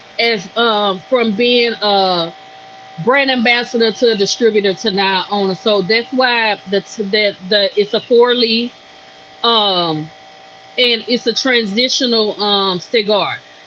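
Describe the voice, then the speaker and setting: A woman's fairly high voice at a very slow pace, very even in loudness, with noticeable background noise. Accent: Louisiana. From Louisiana, US South. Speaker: cigar brand owner. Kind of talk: podcast interview. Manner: animated.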